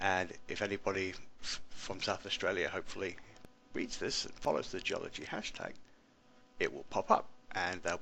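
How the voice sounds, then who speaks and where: A man speaks with an English accent at a moderate pace. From England. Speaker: teacher. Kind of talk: screencast tutorial. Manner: casual, many fillers.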